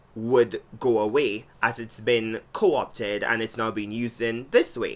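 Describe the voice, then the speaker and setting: A woman with a Trinidadian accent, a very deep, low pitch and ordinary pitch variation. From Trinidad and Tobago. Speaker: video blogger. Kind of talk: video essay monologue.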